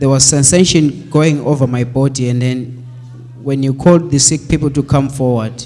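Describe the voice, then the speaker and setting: The pace is moderate as a man talks. Intonation remains fairly even throughout. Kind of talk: testimony. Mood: grateful, earnest. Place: church. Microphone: handheld.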